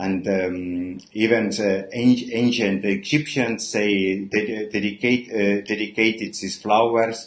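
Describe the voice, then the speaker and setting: Speaking at a very slow pace with hardly any pauses, a man keeps his intonation fairly even. His pitch is fairly low. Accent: non-native. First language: not English. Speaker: perfumer. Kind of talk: livestream product talk. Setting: live stream. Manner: halting, many fillers.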